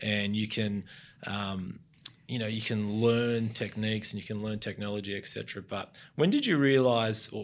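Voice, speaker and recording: In an Australian accent, a man speaks at a fairly low pitch with fairly even intonation. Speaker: podcast host, former surf brand marketer. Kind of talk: interview.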